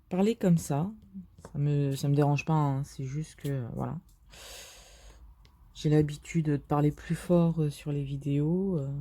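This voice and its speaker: A woman with a very deep, low pitch speaks in a dark, mellow tone at a fairly slow pace. Her intonation stays fairly even, broken by long, frequent pauses. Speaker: diamond painting youtuber. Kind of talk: casual vlog commentary while crafting. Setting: bedroom at someone else's home. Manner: speaking more quietly than usual; hesitant, many fillers.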